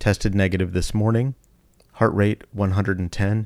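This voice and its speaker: An ordinary speaking voice from a man, fairly low in pitch, at a moderate pace with fairly even intonation, on a very clean, dry and close recording with a silent background and no echo. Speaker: podcast host, emergency physician. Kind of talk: podcast intro and outro.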